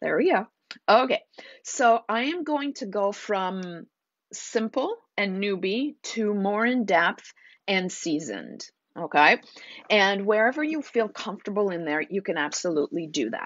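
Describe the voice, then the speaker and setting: With an animated tone and very wide pitch swings, a woman of medium pitch talks at a fairly slow pace. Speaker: naturopath hosting a live stream. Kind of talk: live stream talk.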